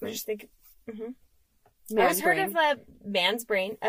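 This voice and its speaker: A woman talks at medium pitch with ordinary pitch variation. Hers is an unremarkable speaking voice. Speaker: podcast co-host. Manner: casual, chatty.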